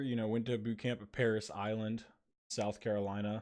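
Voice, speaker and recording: With an American accent, a man speaks at a moderate pace in a relaxed tone. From northern Kentucky / Cincinnati area. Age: 20s. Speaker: podcast host, Marine veteran. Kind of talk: casual monologue podcast. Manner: relaxed, lots of fillers.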